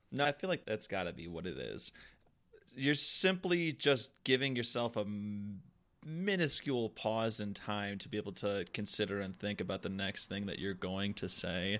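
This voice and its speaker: A man talks at a moderate pace in an ordinary speaking voice, with a fairly low pitch and lively intonation. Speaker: podcast host. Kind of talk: casual chat.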